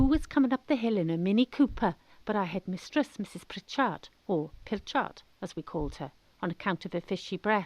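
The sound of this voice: At a fairly quick pace, a woman with a South West Wales accent speaks with lively intonation. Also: medium pitch for a woman, dry, close sound with no echo, slightly mellow tone. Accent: South West Welsh.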